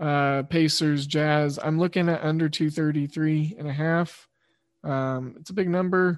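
A man's fairly high voice, very slow in pace, with fairly even intonation. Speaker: sports betting podcast host. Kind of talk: casual sports betting talk. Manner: monotone.

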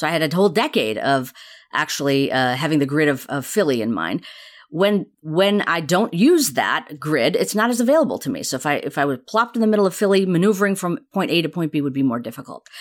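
A woman with a fairly low pitch talks at a fairly quick pace, her pitch swinging very widely, in a very clean recording with a silent background. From India. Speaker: neuroscience professor. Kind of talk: interview.

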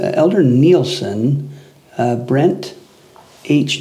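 With audible room echo and noticeable background noise, a man speaks at a medium pitch with ordinary pitch variation. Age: 30s. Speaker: religion institute teacher. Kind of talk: casual chat.

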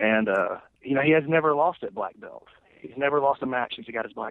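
With an Alabama accent, a man speaks with ordinary pitch variation. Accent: Southern US (Alabama). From US South, Lawrence County, Alabama. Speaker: jiu-jitsu competitor and podcaster. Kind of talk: casual chat.

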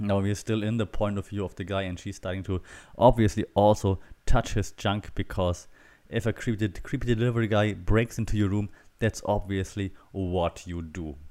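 A man with a fairly low pitch speaks at a moderate pace with fairly even intonation on a very clean recording with a silent background. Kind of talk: comedic solo review commentary. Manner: putting on a deep voice; laughing often.

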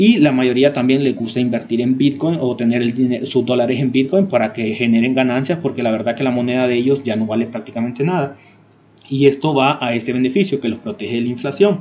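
A man talks at a fairly quick pace. His medium-pitched voice has ordinary pitch variation. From Honduras. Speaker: YouTube tech tutorial creator. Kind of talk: tutorial. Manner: hesitant with frequent fillers.

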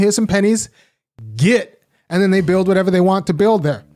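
The speaker talks very fast with an American accent. The recording is very clean, with a silent background. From California. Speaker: political commentator, academic. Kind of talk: live solo political commentary.

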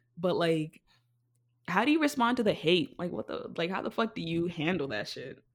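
Very clean and set against a silent background, a woman's fairly low voice shows vocal fry and very wide pitch swings at a moderate pace. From Africa. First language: not English. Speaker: podcast host, drag king. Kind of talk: casual chat. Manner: animated.

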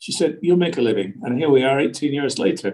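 Very fast and with lively intonation, a man talks at a fairly high pitch in a dark, mellow tone. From UK. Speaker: real estate agent. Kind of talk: interview. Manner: halting.

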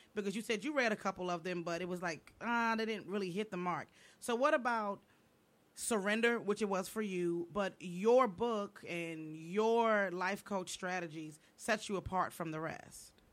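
Medium pitch and a moderate pace from a woman, a plain, everyday voice with ordinary pitch variation. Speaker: comedian and co-host. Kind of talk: talk radio panel discussion.

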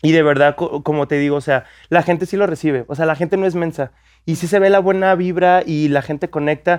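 Against a quiet background, a man with an unremarkable speaking voice talks at a fairly quick pace in a fairly high pitch with fairly even intonation. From Mexico, Guadalajara. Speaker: content creator and photographer. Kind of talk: casual chat.

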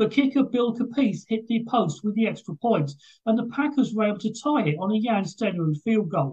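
The speaker has a British accent and moves at a fairly quick pace.

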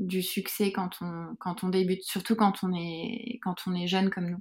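Slowly, very slowly, a woman at a medium pitch speaks with monotone, flat intonation. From France, Yvelines near Versailles. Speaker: beauty brand co-founder. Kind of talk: interview. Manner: halting.

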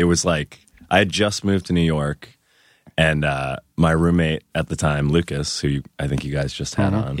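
A man's very deep, low voice at a moderate pace, with fairly even intonation and a dry, close sound with no echo. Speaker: podcast guest, guitarist in bands.

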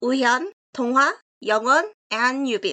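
A bright, sharp tone with a Korean accent and ordinary pitch variation. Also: woman. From South Korea, Seoul. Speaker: freelance translator. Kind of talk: scripted narration.

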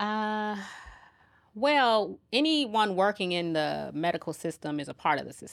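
This woman has an American accent and very wide pitch swings. Her loudness swings a lot, and the recording is very clean with a silent background. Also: medium pitch for a woman, fairly slow pace. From Chicago, South Side. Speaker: nurse midwife. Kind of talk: casual interview chat.

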